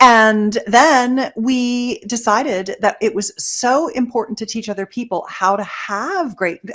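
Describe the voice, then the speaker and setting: Using an ordinary speaking voice with a fairly high pitch, a woman talks at a fairly slow pace. She hardly pauses and varies her pitch in an ordinary way. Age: 60s. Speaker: intimacy expert. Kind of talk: podcast interview.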